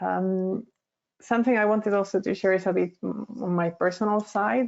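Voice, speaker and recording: The speaker has a Spanish accent. The pace is fairly quick. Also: woman. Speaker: lecturer. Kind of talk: lecture. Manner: halting.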